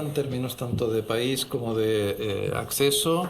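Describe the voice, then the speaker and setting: A man with a Catalan accent talks at a fairly slow pace with ordinary pitch variation, over noticeable background noise and audible room echo. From Catalonia, Spain (Barcelona). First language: Catalan (speaking Spanish). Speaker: head of translation program, professor. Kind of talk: panel discussion. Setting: university auditorium.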